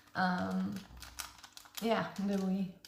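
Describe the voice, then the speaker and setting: A woman is heard through noticeable background noise. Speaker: ASMR creator. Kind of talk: casual talk to camera, ASMR yapping about games.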